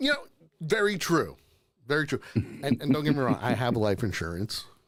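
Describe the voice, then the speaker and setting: Speaking at a moderate pace, a man uses a fairly high pitch with very wide pitch swings. Vocal fry runs through his voice. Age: 40s. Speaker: comedy live-stream host. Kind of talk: casual chat.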